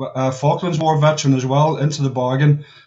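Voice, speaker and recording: Noticeable background noise surrounds a man whose fairly high voice stays monotone and flat. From Northern Ireland. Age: 60s. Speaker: war veteran. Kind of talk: casual chat. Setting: video call. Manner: halting.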